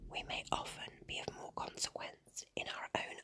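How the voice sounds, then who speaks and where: Whispering over noticeable background noise, a woman speaks. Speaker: ASMR storyteller. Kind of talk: ASMR bedtime story reading. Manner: whispered, soft.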